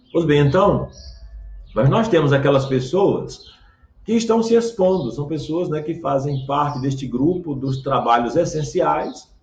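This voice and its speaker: With a fairly slow pace, a man's intonation rises and falls in a lively way. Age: 60s. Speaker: pastor. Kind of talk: sermon. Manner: halting, frequent fillers.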